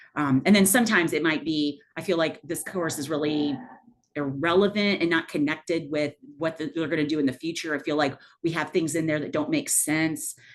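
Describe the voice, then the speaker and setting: Pitch varies in an ordinary way while the words come at a fairly quick pace. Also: woman, very deep, low pitch for a woman. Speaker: math professor leading faculty training. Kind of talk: workshop presentation. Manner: fast.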